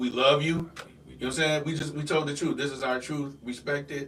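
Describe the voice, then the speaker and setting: A man's voice with fairly even intonation and an audible room echo. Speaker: pastor and singer. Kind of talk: casual podcast chat.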